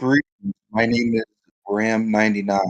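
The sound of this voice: A man performs a put-on character voice that sounds robotic. He keeps a moderate pace. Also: medium pitch for a man.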